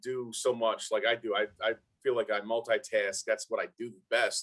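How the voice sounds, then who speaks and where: The speaker talks at a moderate pace in a Brooklyn accent. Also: man. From Brooklyn, New York. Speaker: former NFL player and motivational speaker. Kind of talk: casual interview chat.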